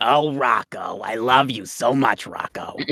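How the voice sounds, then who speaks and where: In a put-on character voice, a man speaks raspily at a medium pitch and a fairly slow pace. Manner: gushing, affectionate.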